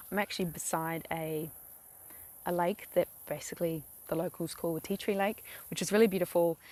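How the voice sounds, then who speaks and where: A woman with a New Zealand accent talks at a fairly quick pace with long, frequent pauses, fairly low pitch and fairly even intonation, in a dry, close sound with no echo. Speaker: vlogger. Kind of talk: tutorial. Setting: outdoors beside a lake. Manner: casual, hesitant with many fillers.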